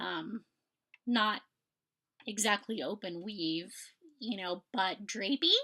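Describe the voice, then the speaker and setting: Speaking very slowly with long, frequent pauses, a woman uses a medium pitch with vocal fry. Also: ordinary pitch variation. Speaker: knitting podcaster. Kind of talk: casual chat. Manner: hesitant, many fillers.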